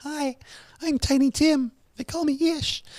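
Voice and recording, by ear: A squeaky, high-pitched put-on character voice speaks at a moderate pace.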